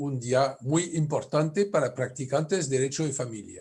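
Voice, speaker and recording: Speaking with a French accent, a man sounds somewhat breathy, his fairly high pitch varying in an ordinary way. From France. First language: French (speaking Spanish). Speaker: family lawyer, conference speaker. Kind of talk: conference lecture.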